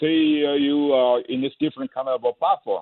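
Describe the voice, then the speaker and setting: Speaking with a Chinese accent, a man uses a fairly high voice and fairly even intonation. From China. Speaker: former government advisor and history professor. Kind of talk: radio interview. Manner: halting, many fillers.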